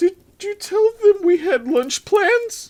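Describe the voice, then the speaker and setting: A man's put-on character voice, extremely high in pitch, nervous in tone, at a fairly slow pace. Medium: read story. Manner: nervous, fussy.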